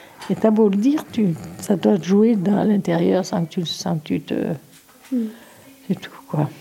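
A woman speaks slowly-ish at a medium pitch, with ordinary pitch variation and long, frequent pauses. Noticeable background noise runs underneath. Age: 70s. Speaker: grandmother. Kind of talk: casual chat.

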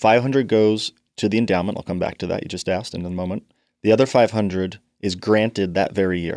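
A man at a very fast pace, fairly low in pitch, with fairly even intonation and a dry, close sound with no echo against a quiet background. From Canada and northeast London. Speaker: charity foundation chair and financial planner. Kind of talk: interview.

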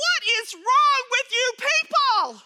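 Using a put-on character voice, a woman speaks fairly slowly at an extremely high pitch. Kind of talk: scolding, rhetorical questions. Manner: snippy, irritated.

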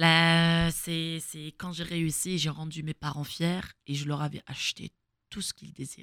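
Woman's fairly low voice at a fairly quick pace, flat and monotone, dry and close with no echo. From Algeria, Kabylie (Fiklma). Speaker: former footballer and coach. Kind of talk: interview.

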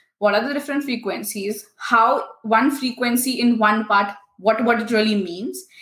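The tone is bright and sharp, with ordinary pitch variation. Speech comes at a moderate pace. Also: woman. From India. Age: 20s. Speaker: tech founder and engineer. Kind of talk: podcast interview.

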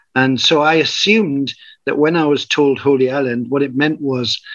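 A man with a Northumbrian accent speaks at a fairly high pitch. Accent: northern English, Northumbrian. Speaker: community founder, spiritual teacher. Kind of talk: interview conversation with storytelling.

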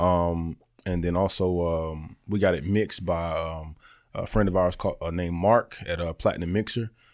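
A man with a Southern US accent speaks at a very deep, low pitch in a monotone, flat intonation. The recording is very clean, with a silent background. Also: moderate pace. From Alabama, Birmingham. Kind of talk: interview. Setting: studio.

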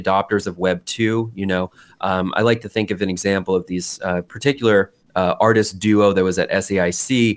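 A man talks at a moderate pace with fairly even intonation and a plain, everyday voice. The recording is very clean, with a silent background. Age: 30s. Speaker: artist and internet culture researcher. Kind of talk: interview conversation.

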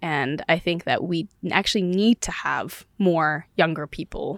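A woman talks at a fairly slow pace with an American accent. The recording is very clean, with a silent background. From US West Coast, southern California (Palm Springs area). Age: 20s. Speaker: engineer, investor and congressional candidate. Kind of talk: interview conversation. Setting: studio.

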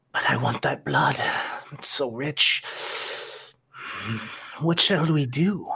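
Putting on a character voice, a man talks at a fairly high pitch and fairly slow pace, with long, frequent pauses. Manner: hungry, menacing.

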